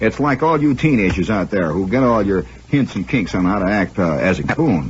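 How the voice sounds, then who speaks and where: This man's pitch swings very widely as he talks. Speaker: radio host and storyteller. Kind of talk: comedic radio monologue. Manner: wry, sardonic, rambling.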